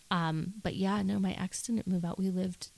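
This is a woman with an unremarkable speaking voice. Her pitch is fairly low, with ordinary variation. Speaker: author. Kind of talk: casual chat.

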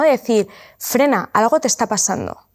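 This woman has an unremarkable speaking voice, moving at a moderate pace with lively intonation. Her recording is very clean and the background silent. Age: 30s. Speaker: influencer and entrepreneur. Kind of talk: interview.

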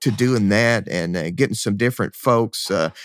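In a Kentucky accent, a man speaks at a moderate pace with vocal fry and lively intonation, the sound dry and close with no echo. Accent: Kentucky Southern. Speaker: rock band singer and guitarist. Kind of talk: casual interview. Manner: halting, many repeats.

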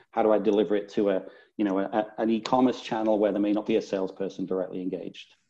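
A man with a northern English accent talks at a very fast pace in a fairly low pitch. His tone is dark and mellow, and the background is quiet. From northern England. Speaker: business strategy executive. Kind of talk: interview.

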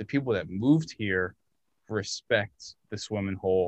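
A plain, everyday voice speaks with ordinary pitch variation. The sound is dry and close with no echo, over a quiet background. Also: man. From Hudson Valley, New York. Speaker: barber. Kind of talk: casual chat.

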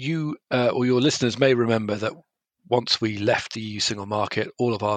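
A man's medium-pitched, ordinary speaking voice at a fairly quick pace, dry and close with no echo. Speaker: journalist. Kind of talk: panel discussion.

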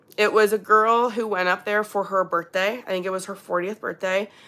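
At a moderate pace, a woman with a Canadian accent speaks in a medium pitch with a bright, sharp tone on a very clean recording with a silent background. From Ontario, Canada. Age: 30s. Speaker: YouTuber and podcaster on swinging. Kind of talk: live stream Q&A. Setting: live stream on webcam. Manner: casual, filler-heavy.

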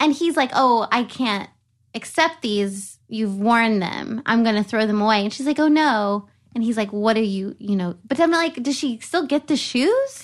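Against a quiet background, a woman with an American accent speaks at a moderate pace in a fairly high pitch with lively intonation. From US South. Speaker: podcast host. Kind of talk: casual chat.

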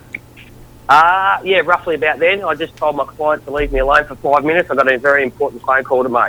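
A man with an Australian accent at a very fast pace, fairly high in pitch, with ordinary pitch variation. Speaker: caller. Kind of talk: casual chat. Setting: phone call.

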